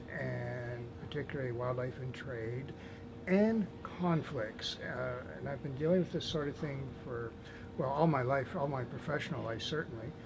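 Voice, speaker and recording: The voice is soft-spoken and somewhat breathy, with ordinary pitch variation. It moves at a moderate pace. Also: man, medium pitch for a man. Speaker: animal advocate. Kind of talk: interview answer.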